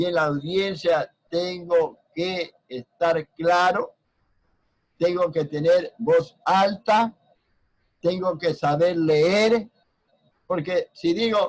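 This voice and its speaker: With long, frequent pauses at a very slow pace, a man speaks in a high pitch with fairly even intonation, in a dry, close sound with no echo. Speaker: university law professor. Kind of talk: lecture. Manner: loud.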